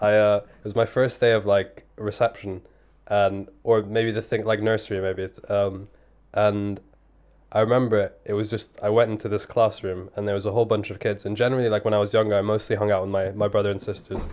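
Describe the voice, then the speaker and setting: This man has a fairly low pitch. His intonation is monotone and flat. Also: fairly quick pace. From London, England (born in Italy, Somali family). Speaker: young professional podcast guest. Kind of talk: casual chat. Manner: casual, halting with fillers.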